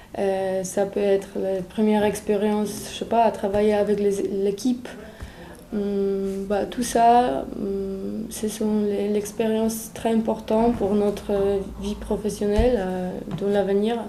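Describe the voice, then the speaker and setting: Through audible room echo and noticeable background noise, a woman with a Polish accent speaks very slowly at a medium pitch in a flat monotone. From Poland. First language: Polish (speaking French). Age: 20s. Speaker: European volunteer. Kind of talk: testimony. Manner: halting, many hesitations.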